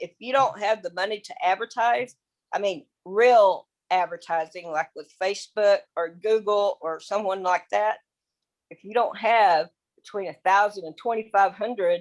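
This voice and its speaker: Using a plain, everyday voice, a woman at medium pitch talks at a moderate pace with ordinary pitch variation. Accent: American. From Texas. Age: 60s. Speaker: affiliate marketer. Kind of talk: casual presentation on video call. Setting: video call.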